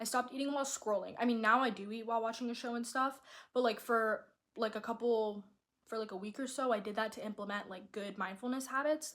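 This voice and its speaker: A woman's fairly high, animated voice at a very fast pace. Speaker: lifestyle vlogger. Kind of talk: casual monologue.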